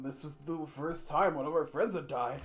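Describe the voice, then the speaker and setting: With light background noise, a man talks at a moderate pace in a fairly high pitch with ordinary pitch variation. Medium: game stream. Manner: casual, conversational.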